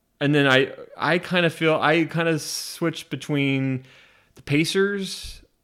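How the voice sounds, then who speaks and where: On a very clean recording with a silent background, a man with an American accent speaks fairly slowly in a fairly high voice, his intonation fairly even but his loudness swinging widely. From US Pacific Northwest (Spokane, Washington). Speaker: podcast host. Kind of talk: casual chat. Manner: halting, many fillers.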